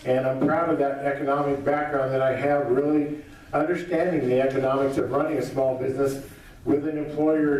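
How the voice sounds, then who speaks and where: The delivery is monotone and flat at a fairly quick pace. Audible room echo and noticeable background noise fill the recording. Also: man. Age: 60s. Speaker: political candidate. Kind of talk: campaign speech. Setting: candidate forum with audience.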